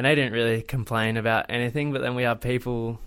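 Flat and monotone, a man speaks at a medium pitch. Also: very clean recording, silent background. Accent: Australian. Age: 20s. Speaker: travel vlogger. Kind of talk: casual chat.

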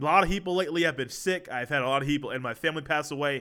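The recording is very clean with a silent background, carrying a man's bright, sharp voice at a fairly quick pace. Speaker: sports podcast host. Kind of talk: solo podcast monologue.

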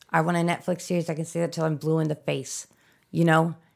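This is a woman speaking. Her pitch is fairly low. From US Midwest. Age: 30s. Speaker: filmmaker and army veteran. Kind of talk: casual interview. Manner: rambling, goes off on tangents; excitable, profane.

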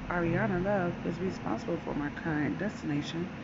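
Over noticeable background noise, a woman speaks in an intense tone at a moderate pace. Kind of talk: angry rant, fervent conspiracy-style monologue. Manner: intense, indignant, emphatic; declamatory, urgent, forceful delivery with dramatic pauses.

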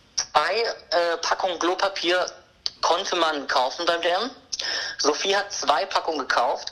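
A woman speaks at a moderate pace with a fairly low pitch. Her loudness stays very even over noticeable background noise. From Karlsruhe, Germany. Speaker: friend of the hosts. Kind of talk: casual chat.

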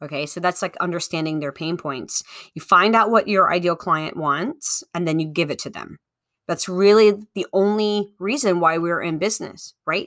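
A woman with a plain, everyday voice speaks at a moderate pace, her pitch fairly low and its variation ordinary. Her loudness swings widely, and the recording is very clean with a silent background. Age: 40s. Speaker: podcast host and business coach. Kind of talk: solo instructional talk.

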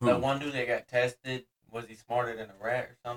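A man talks at a fairly quick pace with a medium-pitched voice. It is an ordinary speaking voice. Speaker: podcast guest.

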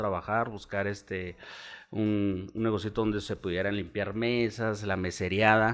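Over a silent background in a very clean recording, a man with a fairly low pitch speaks at a moderate pace in monotone, flat intonation. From Chihuahua, northern Mexico. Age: 30s. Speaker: bar owner and business leader. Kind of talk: casual chat.

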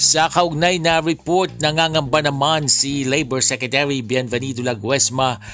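Music plays in the background as a man speaks at a fairly slow pace. His pitch is medium, with ordinary variation. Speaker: news podcast host. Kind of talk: casual commentary; news reading.

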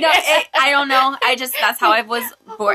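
Noticeable noise fills the background. Over it, a woman talks with ordinary pitch variation. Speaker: podcast co-host.

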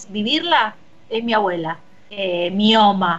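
With a Rioplatense accent, a woman speaks at a fairly high pitch with ordinary pitch variation. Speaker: radio host. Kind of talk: casual chat. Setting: remote broadcast from home.

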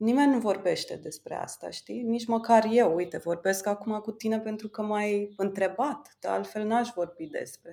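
A woman speaks at a moderate pace with a fairly high pitch and a dark, mellow tone. Her pitch varies in an ordinary way, and she hardly pauses at all. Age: 30s. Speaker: designer and entrepreneur. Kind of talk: interview.

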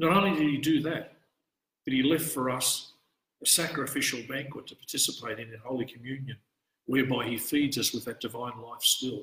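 Talking at a fairly quick pace with an Australian accent, a man of medium pitch shows ordinary pitch variation and big swings in loudness. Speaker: priest. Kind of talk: scripture study talk. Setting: church, live-streamed.

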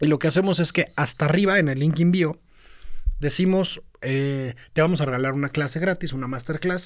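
This man's voice sits at a fairly high pitch, moving at a moderate pace with ordinary pitch variation. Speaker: podcast co-host, social media marketer. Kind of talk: casual chat. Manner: mixes Spanish and English.

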